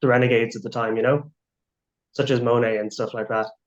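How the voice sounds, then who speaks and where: Speaking at a very fast pace, a man talks with an Irish accent. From Ireland. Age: 20s. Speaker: abstract artist. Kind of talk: interview.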